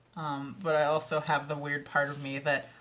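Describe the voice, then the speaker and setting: A woman speaks with a Minnesotan accent. Her pace is moderate. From Minnesota, US. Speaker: audiobook narrator and author. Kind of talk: casual vlog chat. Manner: animated, filler-heavy.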